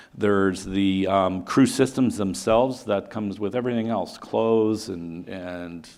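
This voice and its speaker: With fairly even intonation, a man talks at a fairly low pitch. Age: 60s. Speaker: company executive, engineer. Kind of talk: conference presentation. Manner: halting.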